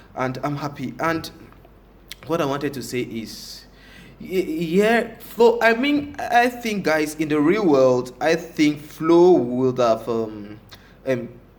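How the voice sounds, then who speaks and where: A man talks at a very slow pace in a fairly high pitch. His pitch swings very widely. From Africa. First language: French. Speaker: reality TV reviewer. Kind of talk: casual vlog commentary. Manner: halting, many fillers; animated.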